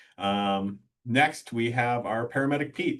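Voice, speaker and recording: A Midwestern US accent with ordinary pitch variation. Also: man. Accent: US Midwest. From rural Iowa. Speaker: EMS deputy chief. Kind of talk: webinar presentation. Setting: online webinar.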